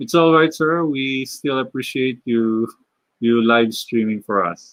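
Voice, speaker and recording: The speaker has a Filipino accent and a fairly slow pace. Pitch variation is ordinary. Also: man. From Philippines. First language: Tagalog. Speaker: animator and illustrator live streamer. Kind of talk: live stream Q&A while drawing. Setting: live stream. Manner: halting, many fillers.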